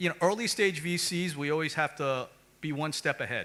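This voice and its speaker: A man speaks with an American accent. His voice is fairly high-pitched, with a bright, sharp tone. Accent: American, self-noted. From United States. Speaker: venture capital investor. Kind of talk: panel discussion. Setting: conference stage with audience.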